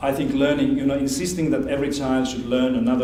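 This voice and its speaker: With a Finnish accent, a man talks at a very fast pace and a fairly high pitch, his intonation fairly even. Audible room echo and noticeable background noise surround him. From Finland. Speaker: education expert speaker. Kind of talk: lecture.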